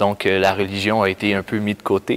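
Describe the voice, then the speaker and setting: Speaking with a Quebec accent at a moderate pace, a man with a fairly low pitch is recorded with a dry, close sound and no echo. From Quebec, Canada. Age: 20s. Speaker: youth camp worker. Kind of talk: personal testimony. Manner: halting, many hesitations.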